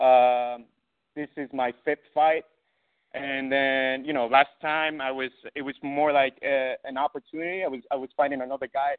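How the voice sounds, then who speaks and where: The speech moves at a moderate pace with monotone, flat intonation. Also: man. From Ecuador. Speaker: MMA fighter. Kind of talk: casual chat.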